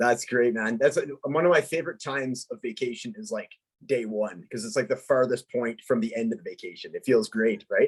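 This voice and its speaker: A man with a normal speaking voice talks at medium pitch and a fairly quick pace. His intonation is lively, with big swings in loudness. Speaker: podcast host. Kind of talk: podcast interview host.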